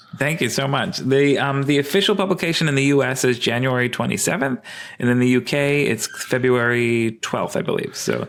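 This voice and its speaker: A man with a New York accent talks at a fairly quick pace, his pitch medium with ordinary variation. His loudness stays very even. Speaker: evolutionary biologist and sex researcher. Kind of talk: podcast interview. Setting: at home, remote call. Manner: hesitant, many fillers.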